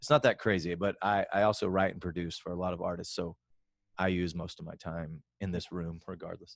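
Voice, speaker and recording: A man talks at a very deep, low pitch and a fairly quick pace. His intonation is fairly even, with big swings in loudness. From Alabama, US South. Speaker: singer-songwriter and live streamer. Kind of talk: interview.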